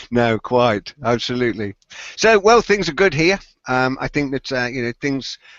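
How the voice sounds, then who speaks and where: A man with a British accent talks at a fairly quick pace and a medium pitch. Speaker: tech podcast co-host. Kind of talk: casual chat. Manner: fast.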